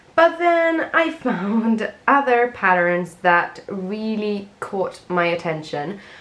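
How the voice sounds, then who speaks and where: Amid noticeable background noise, a woman speaks very slowly with hardly any pauses and very wide pitch swings. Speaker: crochet content creator. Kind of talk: casual vlog narration. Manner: lower, quieter tone.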